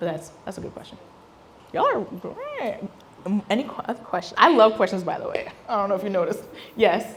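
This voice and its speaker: Noticeable background noise and audible room echo surround this woman as she talks. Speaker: business founder and speaker. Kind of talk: talk Q&A with audience. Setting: stage with audience. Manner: animated.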